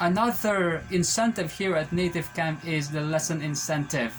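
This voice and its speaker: Music plays in the background as a man speaks at a moderate pace. His voice sits fairly high, with ordinary pitch variation. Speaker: ESL teacher. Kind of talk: casual vlog talk to camera.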